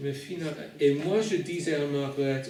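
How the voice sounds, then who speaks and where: A man with a non-native accent, fairly high in pitch with ordinary pitch variation, at a fairly slow pace, with audible room echo and noticeable background noise. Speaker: preacher. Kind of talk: sermon. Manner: halting.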